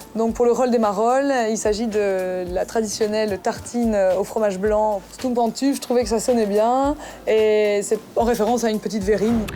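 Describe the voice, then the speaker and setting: In a slight Belgian accent, a woman talks at a fairly high pitch with fairly even intonation and very even loudness. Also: moderate pace. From northern France, Calais. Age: 20s. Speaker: reality TV cooking contestant. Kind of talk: reality TV interview.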